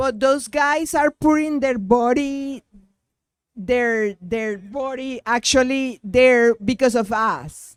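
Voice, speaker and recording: A speaker with a non-native accent talks at a very slow pace. The recording is very clean, with a silent background. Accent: non-native, self-described rough. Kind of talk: debate question.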